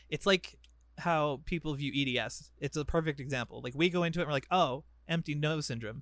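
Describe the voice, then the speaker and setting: A plain, everyday voice from a man, fairly high in pitch with ordinary pitch variation, at a fairly quick pace, in a very clean recording over a silent background. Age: 20s. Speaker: podcast co-host. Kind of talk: casual chat.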